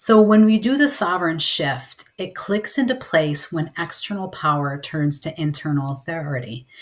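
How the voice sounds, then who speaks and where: Loud and with very wide pitch swings, a woman talks at a moderate pace with hardly any pauses, her pitch fairly low. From upstate New York. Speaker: mentor and webinar presenter. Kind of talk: webinar lecture.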